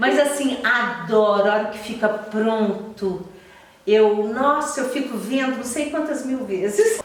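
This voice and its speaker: A woman with a Minas Gerais accent speaks at a very slow pace in a fairly high pitch, with ordinary pitch variation. Audible room echo and noticeable background noise are present. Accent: mineiro Brazilian Portuguese. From Minas Gerais, Brazil. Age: 60s. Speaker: journalist and TV presenter. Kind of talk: podcast interview.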